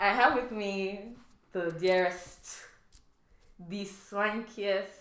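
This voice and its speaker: A woman with a medium-pitched voice talks at a very slow pace, with audible room echo and noticeable background noise. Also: fairly even intonation. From Nigerian background. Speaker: podcast host. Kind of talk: casual chat.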